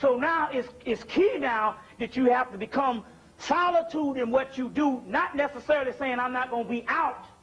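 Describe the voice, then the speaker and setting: Noticeable background noise sits under a man's extremely high-pitched voice. He talks at a moderate pace with ordinary pitch variation. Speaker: spiritual lecturer. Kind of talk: lecture.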